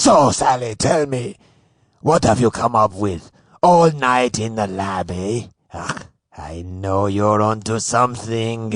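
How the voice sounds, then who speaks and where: Putting on a character voice with an Iraqi accent, a man speaks at a fairly slow pace and medium pitch. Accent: put-on Iraqi. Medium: audio drama. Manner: jovial, florid insults.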